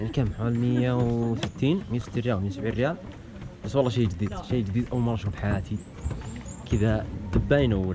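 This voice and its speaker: With ordinary pitch variation and a medium pitch, a man talks at a fairly quick pace as noticeable background noise plays behind him. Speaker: vlogger. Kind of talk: travel vlog.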